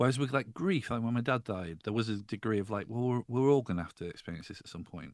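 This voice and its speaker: A man's medium-pitched voice at a very fast pace, with hardly any pauses, lively intonation and big swings in loudness. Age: 40s. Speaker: music journalist and podcaster. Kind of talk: casual chat.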